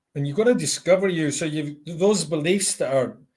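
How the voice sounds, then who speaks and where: A man is speaking with ordinary pitch variation. His voice is somewhat breathy. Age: 60s. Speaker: life coach. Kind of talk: interview conversation.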